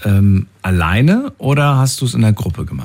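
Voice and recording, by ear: The voice has a slightly mellow tone and rises and falls in big pitch swings. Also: man, fairly low pitch for a man, fairly slow pace.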